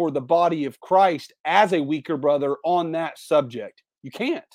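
A man with an American accent talks at a high pitch and a fairly slow pace. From Indiana. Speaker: pastor. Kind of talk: casual chat.

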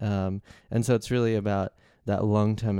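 Fairly low in pitch and dark, mellow in tone, a man speaks at a moderate pace with fairly even intonation. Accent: Australian. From Australia. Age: 20s. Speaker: guest on a faith podcast. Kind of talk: casual Bible discussion.

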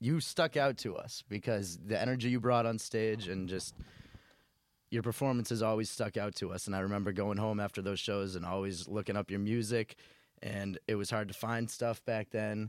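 With an American accent, a man speaks in a plain, everyday voice at a moderate pace, his pitch fairly low and his intonation fairly even. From South Shore, Massachusetts. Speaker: podcast host. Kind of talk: casual podcast interview.

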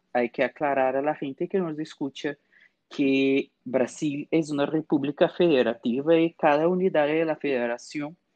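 Against a quiet background, a man with a Portuguese accent speaks at a moderate pace in a fairly high voice. The sound is dry and close with no echo, and his intonation is fairly even. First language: Portuguese (speaking Spanish). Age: 20s. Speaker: historian. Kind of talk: expert interview.

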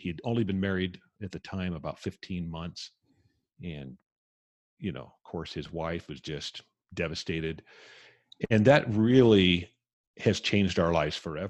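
A man's very deep, low voice at a moderate pace, with ordinary pitch variation and long, frequent pauses, over a quiet background. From US West (Southern California, Las Vegas, Hawaii). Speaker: author and podcast host. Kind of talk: interview, personal story.

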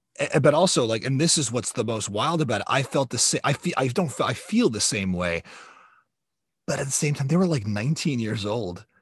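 With an American accent, a man talks at a fairly quick pace in a somewhat breathy voice with lively intonation. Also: medium pitch for a man, quiet background. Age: 40s. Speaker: podcast host. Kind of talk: casual chat.

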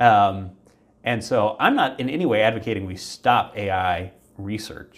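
A man with an American accent and an unremarkable speaking voice, fairly low in pitch with ordinary pitch variation, at a moderate pace. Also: very clean recording, silent background. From Virginia, US. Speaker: human factors researcher. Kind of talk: interview.

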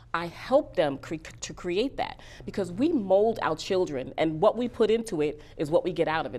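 Speaking at a moderate pace, a woman has a New York accent. Her pitch is fairly low. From Bronx, New York. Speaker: career coach and author. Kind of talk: interview.

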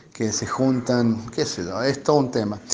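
Audible room echo around a man's medium-pitched voice and fairly even intonation. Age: 40s. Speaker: recovered COVID patient, electronics shop employee. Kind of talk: testimony. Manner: halting.

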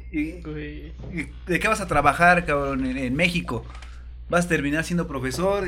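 A man with a Mexican accent is heard amid noticeable background noise and audible room echo. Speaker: podcast host. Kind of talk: casual chat.

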